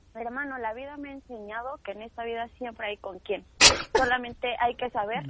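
A woman's high, animated voice at a fairly quick pace, with ordinary pitch variation and noticeable background noise. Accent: Mexican. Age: 20s. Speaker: stand-up comedian. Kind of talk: casual chat.

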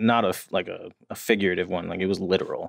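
A man with an American accent and a normal speaking voice, at a fairly quick pace, in a dry, close sound with no echo. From New Jersey, near New York City. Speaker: addiction treatment professional in long-term recovery. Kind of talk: casual interview, personal recovery story.

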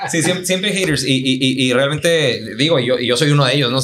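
A man's normal speaking voice, with ordinary pitch variation. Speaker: orthodontist. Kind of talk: casual chat.

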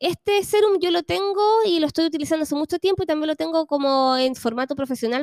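Woman with a Chilean accent and lively intonation, in a dry, close sound with no echo. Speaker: podcast host. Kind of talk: casual chat.

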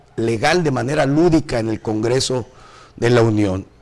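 A man with an unremarkable speaking voice, lively intonation and a moderate pace. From northern Mexico, Tamaulipas. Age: 50s. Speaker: radio host. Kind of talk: casual talk show hosting.

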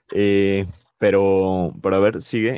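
A man with a very deep, low voice. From Mexico. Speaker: podcast co-host. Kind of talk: casual chat. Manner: hesitant, many fillers.

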